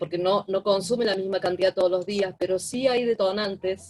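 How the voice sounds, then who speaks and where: A woman talks in an ordinary speaking voice at medium pitch, with ordinary pitch variation. The sound is dry and close, with no echo. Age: 60s. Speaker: therapeutic companion (student participant). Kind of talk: online class discussion.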